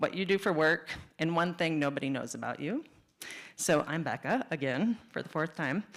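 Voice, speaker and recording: A woman talks at a moderate pace in a fairly low pitch. Her intonation is lively. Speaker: venture investor and former midwife. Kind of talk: conference talk. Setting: stage with audience, microphone. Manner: loud, projecting.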